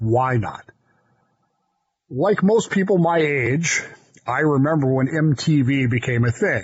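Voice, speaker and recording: Fairly high in pitch and somewhat breathy, a man talks with an American accent. He moves at a fairly slow pace with ordinary pitch variation. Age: 60s. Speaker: podcast co-host. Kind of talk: casual chat. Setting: studio. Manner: animated.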